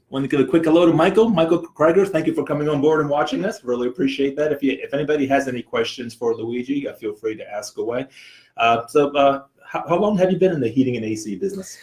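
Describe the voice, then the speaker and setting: Lively in intonation and somewhat breathy, a man with a fairly high pitch talks at a very fast pace. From New Jersey. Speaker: property management host. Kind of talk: casual interview. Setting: live video stream.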